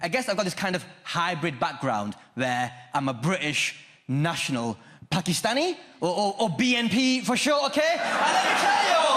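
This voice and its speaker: Against noticeable background noise, a man with a high pitch speaks at a moderate pace, his loudness very even while his pitch swings very widely. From Lancashire, northern England. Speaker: stand-up comedian. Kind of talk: stand-up. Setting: stage with audience.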